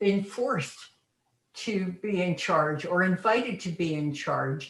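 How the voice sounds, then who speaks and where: Very slowly, a woman speaks at a medium pitch with ordinary pitch variation. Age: 90s. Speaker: older adult sharing life story. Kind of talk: personal storytelling in group chat. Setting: video call. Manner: halting, with many repetitions.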